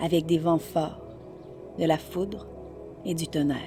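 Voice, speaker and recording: With music in the background, the voice has a calm tone and a French Canadian accent. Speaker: voice-over artist. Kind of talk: meditation guide. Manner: calm, slow.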